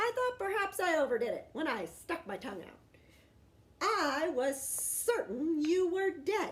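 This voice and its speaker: Using a put-on character voice, a woman speaks at a moderate pace in a dramatic tone, her extremely high pitch swinging very widely. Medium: read story. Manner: dramatic, talkative.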